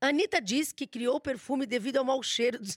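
With a Brazilian accent, a woman speaks at a high pitch and a moderate pace in an animated tone, recorded with a dry, close sound and no echo. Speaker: celebrity gossip host. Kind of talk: casual chat.

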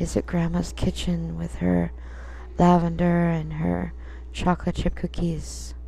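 The voice has a gentle, soothing tone and ordinary pitch variation. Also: woman, very deep, low pitch for a woman, fairly slow pace. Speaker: pagan podcast host. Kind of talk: guided meditation. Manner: slow, soothing, calm; gentle, hushed, measured.

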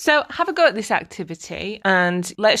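A woman talks against a quiet background. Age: 30s. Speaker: life coach and podcast host. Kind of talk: solo podcast talk on personal development. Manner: casual, chatty with fillers.

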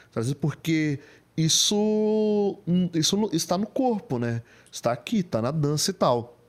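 A man with a high pitch speaks very slowly, his voice making very wide pitch swings. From Greater São Paulo, Brazil (Diadema). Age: 30s. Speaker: photographer and digital influencer. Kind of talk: podcast interview. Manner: casual, slangy.

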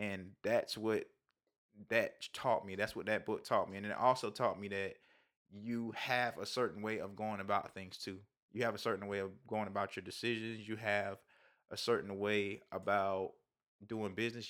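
A man talks with a fairly low pitch at a moderate pace. His intonation stays flat and monotone. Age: 30s. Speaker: music producer. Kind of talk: casual chat.

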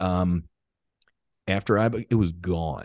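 A man's very deep, low voice with an American accent, fairly slow and with ordinary pitch variation, dry and close with no echo against a quiet background. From US, South Jersey near Philadelphia. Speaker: former fighter pilot, veterans' foundation founder. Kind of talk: interview.

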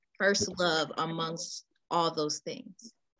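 At a fairly slow pace, the speaker talks with an American accent in a bright, sharp tone. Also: woman. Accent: urban US vernacular, self-described. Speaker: podcast host. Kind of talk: casual interview chat. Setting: podcast recording.

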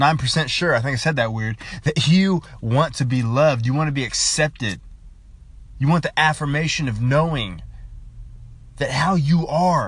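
Somewhat breathy and animated, the voice moves at a moderate pace with ordinary pitch variation and long, frequent pauses. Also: man, fairly high pitch for a man. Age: 20s. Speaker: podcaster. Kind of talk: monologue rant.

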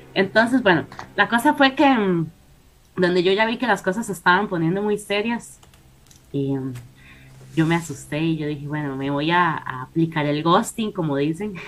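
The delivery moves at a moderate pace with lively intonation, broken by long, frequent pauses. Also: woman, fairly low pitch for a woman. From Costa Rica. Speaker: paranormal guest. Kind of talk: storytelling.

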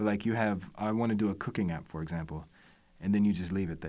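An unremarkable speaking voice from a man, fairly low in pitch with fairly even intonation and a fairly quick pace, on a very clean recording with a silent background. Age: 40s. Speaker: creative network co-founder. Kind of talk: casual chat. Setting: studio.

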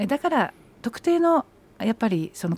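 A woman speaks at a fairly quick pace, her pitch swinging very widely. Her tone is dark and mellow, and the sound is dry and close with no echo. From Saitama, Japan. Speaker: politician. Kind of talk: radio interview.

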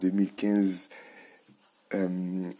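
The tone is mellow and dark. There is a flat monotone to the intonation. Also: man. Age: 20s. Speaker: podcast host on biohacking and nutrition. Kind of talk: solo podcast monologue. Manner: halting, with repetitions and fillers.

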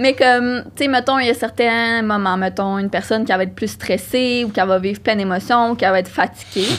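At a fairly quick pace, a woman talks in a plain, everyday voice at a medium pitch with ordinary pitch variation. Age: 20s. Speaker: psychology doctoral student. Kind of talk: casual interview.

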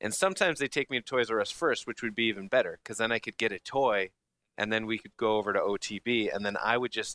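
A man talks at a fairly quick pace. The sound is dry and close with no echo, and his tone is bright and sharp. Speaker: gaming podcast host. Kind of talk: casual chat. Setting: remote recording away from home.

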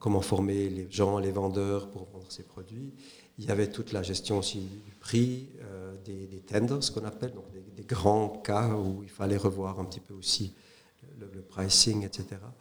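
A fairly low-pitched male voice at a fairly slow pace, monotone and flat in intonation, with big swings in loudness. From Switzerland, Neuchâtel (French-speaking). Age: 50s. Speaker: entrepreneur, former corporate executive. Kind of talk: interview. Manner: hesitant with frequent fillers.

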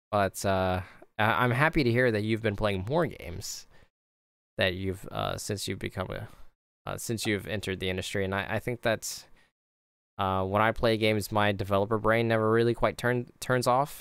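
Fairly low male voice at a moderate pace with fairly even intonation, on a very clean recording with a silent background. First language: not English. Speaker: video game designer and podcast host. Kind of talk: casual interview.

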